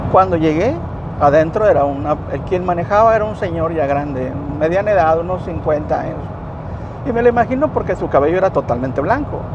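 This man talks at a fairly quick pace, his fairly high pitch swinging very widely. Noticeable background noise runs underneath. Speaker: biomedical equipment technician, storyteller. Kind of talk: casual storytelling vlog, told from a moving car. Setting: in a car on the road. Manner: measured, narrative pacing with repeated words for emphasis.

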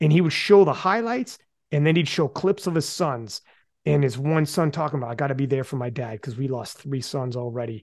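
Over a quiet background, a man uses a normal speaking voice at a moderate pace with ordinary pitch variation. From Canada. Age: 40s. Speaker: podcast host. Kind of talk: casual chat.

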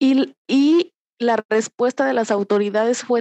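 A woman speaks very slowly with a fairly high pitch, a dark, mellow tone and ordinary pitch variation. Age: 20s. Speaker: victim's family member. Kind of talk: testimony. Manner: halting, with many repetitions.

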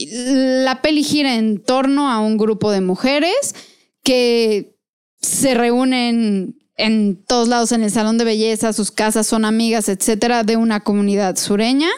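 A woman speaks in a normal speaking voice, fairly high in pitch, with ordinary pitch variation and very even loudness. Her pace is fairly slow, and the recording is very clean with a silent background. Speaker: podcast co-host. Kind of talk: casual chat.

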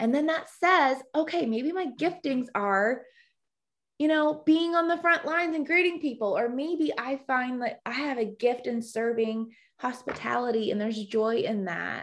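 An enthusiastic woman with an American accent, high-pitched, lively in intonation, at a moderate pace. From US South, Georgia. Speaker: women's ministry leader and writer. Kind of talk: casual interview chat.

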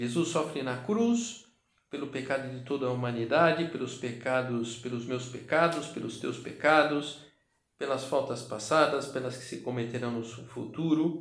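Fairly slow and fairly even in intonation, a man speaks at medium pitch. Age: 50s. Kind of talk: guided meditation. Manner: halting.

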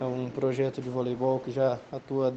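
A man's voice over noticeable background noise. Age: 20s. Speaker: volleyball performance analyst. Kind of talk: casual interview.

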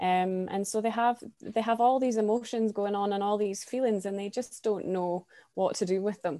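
A woman with a non-native accent, a dark, mellow tone, fairly even intonation, a moderate pace with hardly any pauses, and a quiet background. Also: medium pitch for a woman. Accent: non-American, foreign. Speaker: youth coordinator at a refugee nonprofit. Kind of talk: casual interview.

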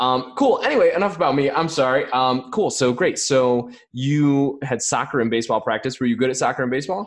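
An American-accented man with an unremarkable speaking voice and medium pitch talks at a fairly quick pace with ordinary pitch variation and hardly any pauses. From US, rural area. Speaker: podcast host. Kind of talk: casual interview.

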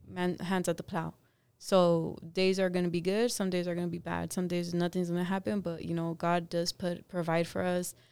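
In a Californian accent, a woman speaks in a fairly low pitch with monotone, flat intonation at a moderate pace, recorded very cleanly against a silent background. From Los Angeles. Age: 30s. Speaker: cleaning business co-owner. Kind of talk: casual interview.

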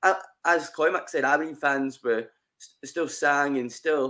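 He speaks with a Scottish accent in a fairly high pitch for a man. His intonation stays fairly even. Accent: Scottish (Ayrshire). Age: 20s. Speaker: football fan podcast guest. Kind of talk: casual chat. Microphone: sound had been crackly, now better.

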